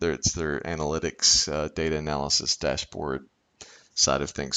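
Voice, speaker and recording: A man is speaking. His pace is moderate. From Kentucky. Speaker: professor. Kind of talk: lecture. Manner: halting, many fillers.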